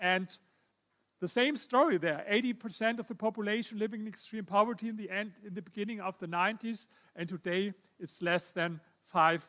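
A man with a German accent uses a raised, projected voice that is bright and sharp. He speaks at a moderate pace, with a high pitch and ordinary variation. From Germany. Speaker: historian and author. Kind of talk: lecture. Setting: stage with audience.

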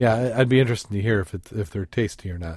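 Speaking with a Midwestern accent, a man has a medium pitch and lively intonation. The sound is dry and close, with no echo. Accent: general American Midwest. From Michigan, US Midwest. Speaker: podcast host, scuba diver. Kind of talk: casual chat podcast.

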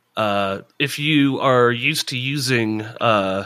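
A man's bright, sharp voice shows ordinary pitch variation.

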